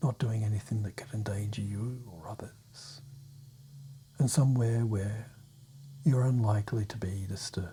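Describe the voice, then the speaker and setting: Soft-spoken and somewhat breathy, a man talks at a medium pitch and moderate pace with a dark, mellow tone and long, frequent pauses. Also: ordinary pitch variation. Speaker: clinical hypnotherapist. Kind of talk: guided meditation. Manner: soft-spoken, calming.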